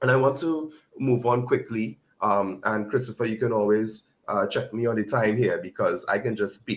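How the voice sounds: Using a put-on character voice, a man speaks in a croaky medium pitch. His pace is moderate.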